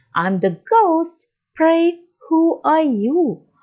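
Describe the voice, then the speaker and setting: Her voice is a put-on character voice pitched extremely high for a woman. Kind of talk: archaic, polite. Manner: gentle, polite.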